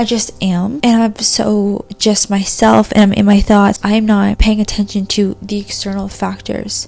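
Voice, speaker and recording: Noticeable background noise behind a woman's moderately paced delivery. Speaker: spiritual content creator. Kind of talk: casual talk to camera. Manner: whispered.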